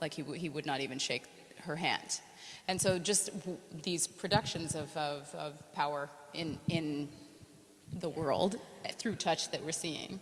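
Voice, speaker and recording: A woman with an American accent and a very deep, low pitch speaks at a fairly slow pace with long, frequent pauses and ordinary pitch variation, over noticeable background noise. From United States. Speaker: dancer. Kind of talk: talk with audience. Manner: casual.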